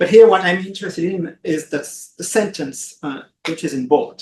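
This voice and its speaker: A man with a French accent and lively intonation. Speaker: law professor, conference panelist. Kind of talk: conference presentation. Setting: conference room with audience and online viewers. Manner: hesitant, many fillers.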